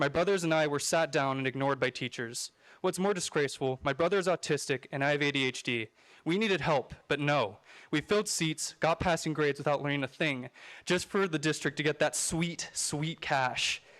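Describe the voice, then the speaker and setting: With an American accent, a man with a fairly high pitch speaks in an ordinary speaking voice at a fairly quick pace, with ordinary pitch variation and very even loudness, in a dry, close sound with no echo on a very clean recording with a silent background. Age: 20s. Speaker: public commenter, college student. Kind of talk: public comment at school board meeting. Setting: school board meeting room.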